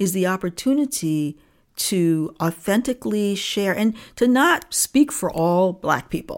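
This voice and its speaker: This woman has a plain, everyday voice with an American accent. She speaks fairly slowly at a medium pitch. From Niagara Falls, New York, US. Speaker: diversity consultant and author. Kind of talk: interview.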